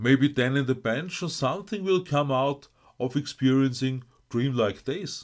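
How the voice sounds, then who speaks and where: Over a very clean recording with a silent background, a man with a German accent speaks at a fairly slow pace, with a fairly high pitch and ordinary pitch variation. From Austria. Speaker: life coach and podcast host. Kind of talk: scripted monologue.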